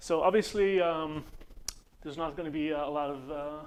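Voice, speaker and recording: This man speaks with an Israeli accent, his fairly high voice keeping a fairly even intonation. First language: Hebrew. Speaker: conference speaker, computer engineer. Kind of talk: conference presentation. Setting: conference room with audience. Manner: halting, many fillers.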